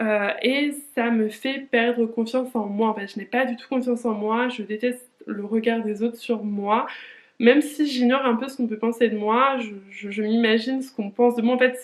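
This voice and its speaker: At a moderate pace, a woman with a fairly high voice speaks in a monotone, flat way. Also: big swings in loudness. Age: 20s. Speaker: lifestyle vlogger. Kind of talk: casual vlog monologue. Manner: hesitant, many fillers.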